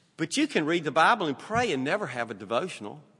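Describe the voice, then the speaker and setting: A man speaks in a Southern US accent with a bright, sharp tone. His pitch sits high and swings very widely. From US South. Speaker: preacher. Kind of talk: sermon. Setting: church.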